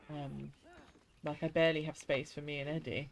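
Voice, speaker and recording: The speaker talks at a moderate pace with a strong English accent. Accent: strong regional English accent she dislikes. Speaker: gaming streamer. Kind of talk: casual chat while live-streaming a game. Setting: live stream from home. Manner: casual, chatty.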